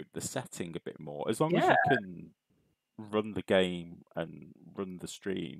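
A man with a British accent and a very deep, low pitch speaks at a fairly slow pace in a relaxed tone. The background is quiet and the sound is dry with no echo. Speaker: stream host. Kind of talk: casual, chatty. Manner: relaxed, chilled. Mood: upbeat, friendly. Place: home room.

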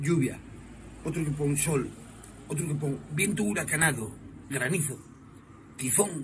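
A man talks at a fairly quick pace with noticeable background noise behind him. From Asturias, Spain. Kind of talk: comic monologue. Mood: joking about weather. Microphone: phone near.

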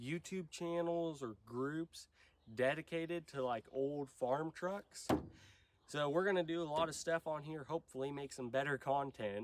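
A man is speaking, and his voice is nasal. His pitch varies in an ordinary way.

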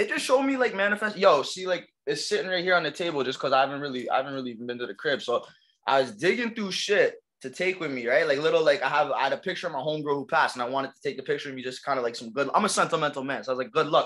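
A bright, sharp tone at a very fast pace over a quiet background. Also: man, fairly high pitch for a man, lively intonation. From Toronto, East Downtown; Toronto. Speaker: rapper; interviewee. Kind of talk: casual interview. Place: home room. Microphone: webcam.

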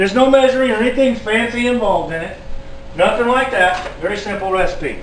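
There is audible room echo and light background noise. A man speaks at a fairly quick pace with extremely high pitch. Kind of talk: casual cooking tutorial. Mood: relaxed, jokey. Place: kitchen. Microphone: camera far.

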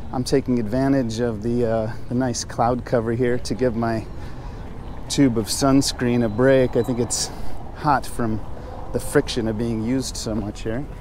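In a dry sound with no echo, a man talks in a monotone, flat intonation over light background noise. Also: moderate pace. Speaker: travel vlogger. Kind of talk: casual vlog chat. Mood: relaxed, joking. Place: street. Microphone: phone near.

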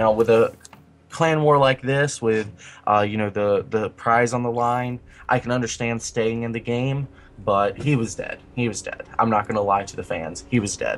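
This is a normal speaking voice from a man at a medium pitch. He keeps a moderate pace and fairly even intonation. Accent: American. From US South. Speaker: esports caster. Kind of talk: live commentary.

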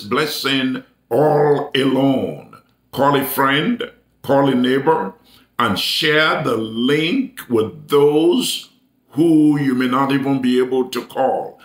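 The speaker goes at a very slow pace, with audible room echo and a quiet background. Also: man. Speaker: preacher. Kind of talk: sermon announcements to online viewers.

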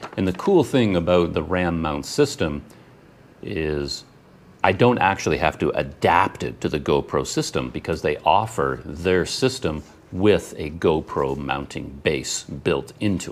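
A man's very deep, low voice with vocal fry and lively intonation, at a fairly slow pace, in a Canadian accent. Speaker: travel vlogger. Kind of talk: unboxing video. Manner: animated.

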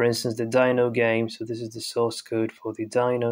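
This man talks at a medium pitch with flat, monotone intonation. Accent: non-native. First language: non-native English speaker. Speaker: programming YouTuber. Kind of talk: tutorial. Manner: hesitant, many fillers.

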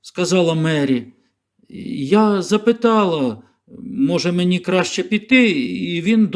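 An unforced reading voice with lively intonation, quiet background.

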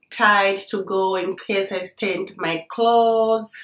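A woman talks at a very slow pace with a medium pitch. Room echo is audible. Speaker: lifestyle YouTuber. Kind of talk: product unboxing and review video. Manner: animated, excitable. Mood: cheerful, enthusiastic. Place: home room.

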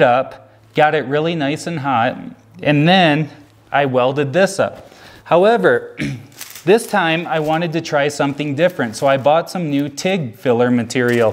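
Ordinary pitch variation marks a man's speech, delivered at a moderate pace. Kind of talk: casual vlog chat. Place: garage.

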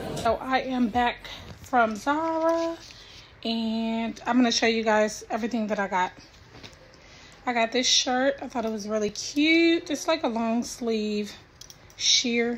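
With long, frequent pauses at a fairly slow pace, a woman talks in a high pitch with ordinary pitch variation over light background noise. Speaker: vlogger. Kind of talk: casual vlog chat. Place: home room. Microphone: phone near.

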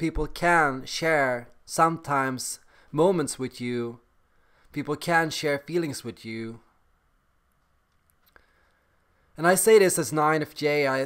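Against a quiet background, a man speaks at a very slow pace with long, frequent pauses and ordinary pitch variation. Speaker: vlogger. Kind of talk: casual vlog chat. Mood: calm reflective. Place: home room. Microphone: webcam.

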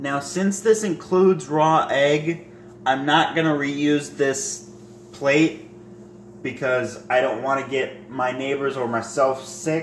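Slow pace from a man with fairly even intonation, plus audible room echo. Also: medium pitch for a man.

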